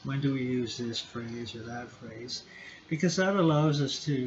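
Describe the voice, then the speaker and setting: Fairly slow, fairly even speech with a Canadian accent and audible room echo. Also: man. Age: 60s. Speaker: lecturer. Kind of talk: lecture. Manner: halting.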